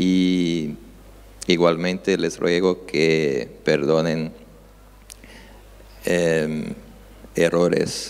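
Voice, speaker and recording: In a Brazilian accent, a man speaks at a very slow pace with long, frequent pauses, in a very deep, low voice with fairly even intonation. Audible room echo surrounds him. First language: Portuguese (speaking Spanish). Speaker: judge. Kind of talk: conference talk. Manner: halting, many filler sounds.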